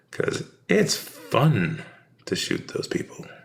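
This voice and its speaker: A man is speaking. He talks with a Western US accent. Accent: Americanized Western. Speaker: painter and video host. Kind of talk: casual monologue while painting. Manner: rambling, halting.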